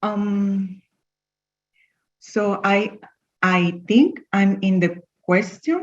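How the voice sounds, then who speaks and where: The woman's voice is somewhat breathy. She talks very slowly. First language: not English. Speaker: class participant. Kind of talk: Q&A with teacher. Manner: halting.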